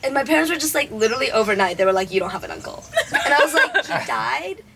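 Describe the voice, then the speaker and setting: A raised, projected voice races at a very fast pace with very wide pitch swings over noticeable background noise. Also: woman, high pitch for a woman. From Canada, with early childhood in China. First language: Chinese. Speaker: storyteller among friends. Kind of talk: casual chat.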